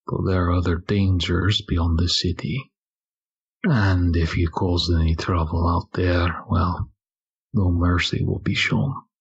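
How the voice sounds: Slowly, a man puts on a character voice, low and husky with a rough edge and little pitch movement.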